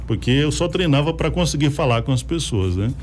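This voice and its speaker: Music plays in the background as a man with a fairly high pitch talks amid audible room echo. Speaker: radio host. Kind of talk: casual chat.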